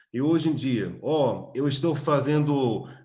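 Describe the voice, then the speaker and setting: A man talks with an American accent at a fairly high pitch. His voice is somewhat breathy. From USA, Texas (Austin). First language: English (speaking Portuguese). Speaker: coffee business owner and trainer. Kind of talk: webinar talk. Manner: halting, many fillers.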